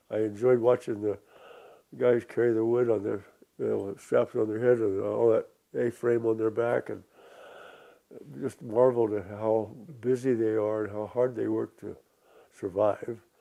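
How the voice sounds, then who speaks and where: A man's medium-pitched voice, dark and mellow in tone, monotone and flat, at a moderate pace with long, frequent pauses. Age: 90s. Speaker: Korean War veteran. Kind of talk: oral history interview. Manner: halting, with many fillers and restarts.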